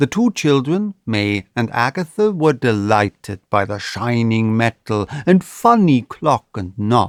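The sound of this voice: Over a quiet background, the speaker reads in an unforced reading voice.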